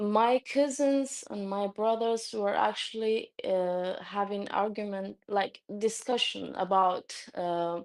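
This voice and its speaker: Delivered in a Turkish accent, the speech is very slow yet has hardly any pauses. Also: woman, medium pitch for a woman, ordinary pitch variation, very clean recording, silent background. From Turkey. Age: 20s. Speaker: new convert sharing her story. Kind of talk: testimony. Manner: halting, many fillers.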